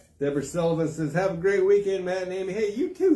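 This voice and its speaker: A high-pitched man talks very fast while noticeable background noise goes on. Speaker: community paper host. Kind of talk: live stream giveaway. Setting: live video stream. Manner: casual, halting.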